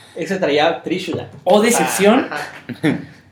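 Noticeable background noise sits behind a man with a high voice. He speaks at a moderate pace with lively intonation. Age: 30s. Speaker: card game player, co-host. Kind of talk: casual chat.

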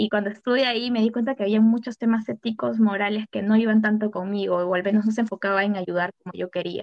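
A woman with a normal speaking voice talks at a fairly quick pace, her pitch fairly high. Her intonation is fairly even, and the sound is dry and close with no echo. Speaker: psychology student, social entrepreneur. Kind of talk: casual panel chat.

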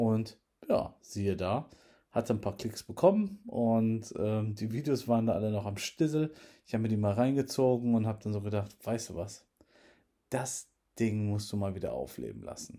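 In a dark, mellow tone, a man speaks at medium pitch with ordinary pitch variation. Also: moderate pace. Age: 30s. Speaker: tech podcaster. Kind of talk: casual monologue.

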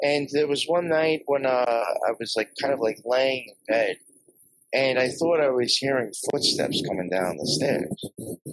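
At a fairly slow pace, a man with an American accent speaks in a normal speaking voice, medium in pitch with lively intonation and a dry, close sound with no echo. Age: 40s. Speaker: podcaster. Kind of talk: casual chat.

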